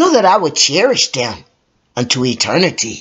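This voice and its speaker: A man's put-on character voice, high-pitched, with very wide pitch swings at a moderate pace. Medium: read story. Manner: passionate, cooing, imperious.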